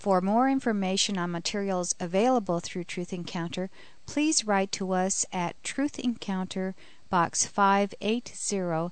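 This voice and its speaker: A woman's plain, everyday voice at medium pitch, with ordinary pitch variation, over a quiet background. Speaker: radio announcer. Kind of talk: scripted narration.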